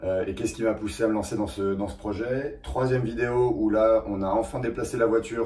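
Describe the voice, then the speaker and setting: This man's voice is dark and mellow, somewhat breathy, and fairly low in pitch. He talks at a fairly quick pace with ordinary pitch variation. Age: 30s. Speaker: car restoration YouTuber. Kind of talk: casual vlog talk. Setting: rented garage. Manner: hesitant, many fillers.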